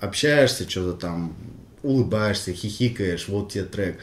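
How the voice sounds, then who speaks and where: Somewhat breathy, a man with a fairly low voice speaks at a fairly slow pace with ordinary pitch variation. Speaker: rapper, member of a hip-hop crew. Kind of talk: casual interview, reminiscing. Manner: halting, full of fillers and restarts.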